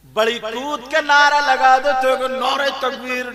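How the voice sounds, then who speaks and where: A man projects his voice at an extremely high pitch. His intonation is fairly even, with noticeable background noise. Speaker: Islamic preacher. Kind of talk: religious sermon to a live audience. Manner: emotional, rousing.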